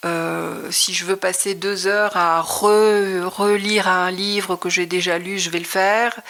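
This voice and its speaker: A woman at a very slow pace, medium pitch and fairly even intonation, over noticeable background noise. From Normandy, France (Le Havre). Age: 60s. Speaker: retiree, textile artist. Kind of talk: interview. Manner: hesitant.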